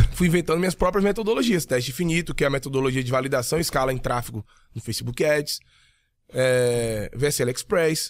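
A man uses a normal speaking voice at a fairly quick pace. His intonation is lively. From Bahia, Brazil (Jequié, interior); Bahia, Brazil. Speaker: digital marketing entrepreneur; podcast guest. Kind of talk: casual interview chat. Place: studio. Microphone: studio mic.

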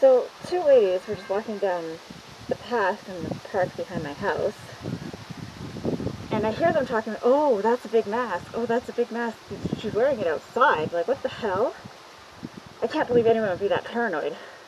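A woman speaks at a moderate pace with long, frequent pauses over noticeable background noise. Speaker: garden vlogger. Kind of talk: casual vlog chat. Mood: annoyed, venting. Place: garden. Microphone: phone near.

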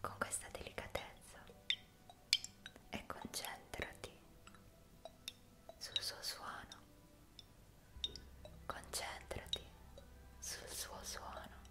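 A soft-spoken woman whispers with long, frequent pauses. Loud background noise runs underneath. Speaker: ASMR relaxation guide. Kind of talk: soft guided relaxation talk. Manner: soft, slow ASMR near-whisper. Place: home room. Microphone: studio mic.

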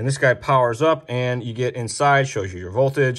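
A man races along at a very fast pace while the background stays quiet. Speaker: RC hobby show host. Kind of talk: product demo tutorial. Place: workshop.

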